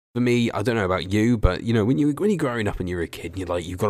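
Very fast pace and lively intonation. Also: man. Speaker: wrestling YouTuber interviewing guest. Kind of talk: casual interview chat.

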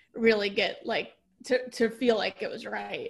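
A woman is talking. The background is silent on this very clean recording. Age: 30s. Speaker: singer-songwriter. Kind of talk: interview. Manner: casual, hesitant with fillers.

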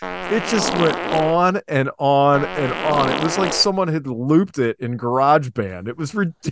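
A man with an American accent, fairly high pitch and very wide pitch swings, at a moderate pace, in a dry, close sound with no echo. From Northeast Ohio. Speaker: podcast host. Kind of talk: casual chat.

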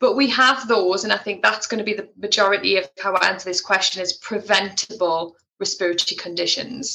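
A woman in a Geordie accent talks at a fairly quick pace with hardly any pauses, a medium pitch and ordinary pitch variation. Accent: Geordie (Tyneside English). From northern England, Tyneside (Wallsend). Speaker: respiratory physiotherapist and healthcare leader. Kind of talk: interview.

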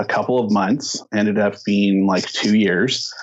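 A fairly slow delivery with an American accent. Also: man. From Southern California (Azusa). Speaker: nonprofit founder. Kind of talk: interview.

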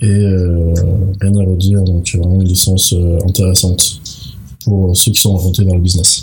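Over noticeable background noise and audible room echo, a man speaks with a very deep, low pitch, monotone flat intonation and very even loudness. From mixed: Tunisia, Malta, United States. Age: 20s. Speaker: master's student. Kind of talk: interview. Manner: halting, many fillers.

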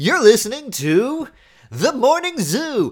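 In a put-on character voice, a man speaks fairly slowly at an extremely high pitch with very wide pitch swings. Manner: bright, upbeat announcer delivery.

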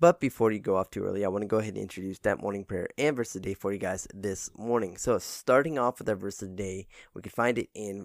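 This man has a normal speaking voice, and he talks at a fairly quick pace with a fairly low pitch and ordinary pitch variation, in a dry, close sound with no echo on a very clean recording with a silent background. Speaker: devotional podcaster. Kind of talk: morning prayer and devotional. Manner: casual, upbeat, friendly; fervent, earnest.

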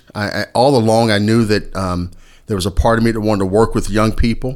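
At a fairly quick pace, a man talks in an unremarkable speaking voice with a fairly low pitch. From Indiana. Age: 50s. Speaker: high school principal. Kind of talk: casual interview chat.

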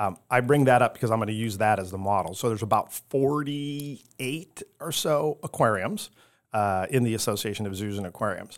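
In an ordinary speaking voice, a man with an American accent talks at a medium pitch with ordinary pitch variation, recorded very cleanly against a silent background. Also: fairly quick pace. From Chicago, southwest side. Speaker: aquarium chief executive. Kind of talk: interview.

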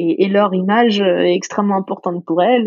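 This woman has an ordinary speaking voice, medium in pitch, with ordinary pitch variation. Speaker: startup co-founder. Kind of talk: interview conversation.

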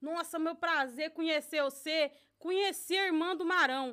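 A woman with a rural Brazilian accent talks with ordinary pitch variation. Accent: rural Brazilian countryside (caipira). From Brazil, interior of São Paulo state. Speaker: Brazilian immigrant, social volunteer. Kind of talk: casual chat.

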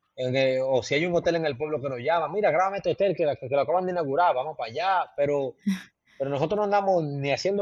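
This man has a normal speaking voice. His pitch is fairly high, with ordinary variation. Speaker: travel content creator. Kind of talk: casual interview.

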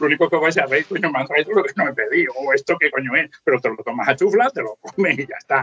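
Speaking at a very fast pace with hardly any pauses, a man uses lively intonation at a fairly high pitch, recorded dry and close with no echo. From Spain, inland Valencia (Ayora). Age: 50s. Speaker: motorcycle traveller and author. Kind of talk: casual chat.

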